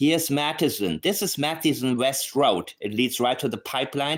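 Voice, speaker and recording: Medium-pitched male voice with a non-native accent, in a very clean recording with a silent background. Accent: noticeable non-native. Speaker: true crime commentator. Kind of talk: casual video commentary. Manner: animated.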